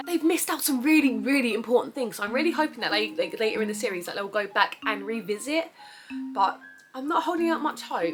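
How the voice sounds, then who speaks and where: Over music in the background, a woman with a British accent talks very fast in a high pitch, her pitch swinging very widely. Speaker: anime figure collector and cosplayer. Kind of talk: casual unboxing review to camera.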